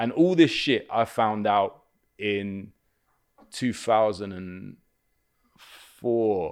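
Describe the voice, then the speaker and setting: Speaking very slowly with long, frequent pauses, a fairly low-pitched man with a London accent is captured on a very clean recording with a silent background. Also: ordinary pitch variation. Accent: London English, multicultural. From West London (Kilburn/Willesden). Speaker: comedian and actor. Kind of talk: casual chat.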